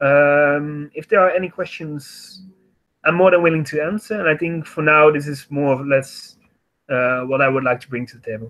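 A man with an unremarkable speaking voice talks at a fairly quick pace and fairly high pitch, with ordinary pitch variation and a quiet background. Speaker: youth organization representative; panelist. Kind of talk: online panel discussion. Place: home room. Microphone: webcam.

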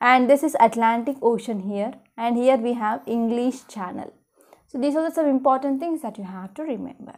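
Against a quiet background, a woman with a high pitch talks fairly quickly, with ordinary pitch variation and big swings in loudness. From India. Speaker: exam coaching teacher. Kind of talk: lecture. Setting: recorded online class.

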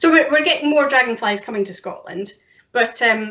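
A woman talks at a moderate pace. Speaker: interview guest. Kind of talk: interview answer. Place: home room. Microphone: video call.

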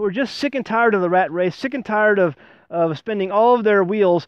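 Over a quiet background, a man's voice comes through with a dry sound with no echo. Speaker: homesteading channel host. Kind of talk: casual vlog chat. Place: forest.

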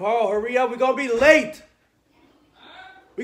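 At a moderate pace, a man talks in an animated tone. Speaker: vlogger. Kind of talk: casual vlog to camera. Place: home room. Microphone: phone near.

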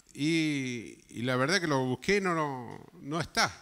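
A man speaks with a bright, sharp tone. His pitch varies in an ordinary way. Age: 70s. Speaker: pastor. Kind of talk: sermon. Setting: church. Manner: animated. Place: church. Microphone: handheld.

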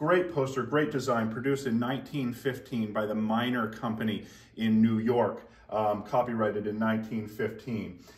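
A man speaks at a moderate pace with fairly even intonation. He leaves hardly any pauses. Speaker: auctioneer. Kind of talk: auction house item presentation to camera. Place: shop. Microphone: camera far.

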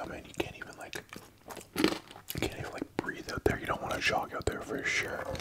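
A man talks at a fairly quick pace while loud background noise fills the recording. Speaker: mukbang host. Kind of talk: casual vlog chat.

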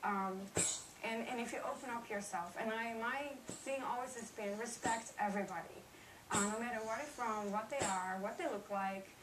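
At a moderate pace, a woman with a fairly high voice speaks through audible room echo and noticeable background noise. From Netherlands. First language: Dutch. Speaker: street photographer. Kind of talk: interview testimony.

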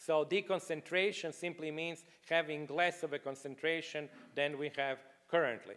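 With a non-native accent, a man speaks at a moderate pace in a fairly high pitch, keeping his intonation fairly even. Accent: non-native, foreign-accented English. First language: not English. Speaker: economist, book contributor; panelist. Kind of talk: panel discussion. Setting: stage with live audience. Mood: calm explanatory. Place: hall. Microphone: handheld.

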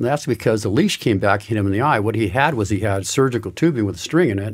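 A man at a very fast pace, with an American accent. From Southern California. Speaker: surfer and surfboard shaper. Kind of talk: interview. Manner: rambling. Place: studio. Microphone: studio mic.

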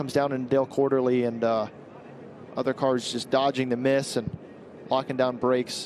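The speaker is a man with a medium pitch. His pace is fairly quick. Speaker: race analyst. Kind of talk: live race commentary. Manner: explanatory, conversational, amused.

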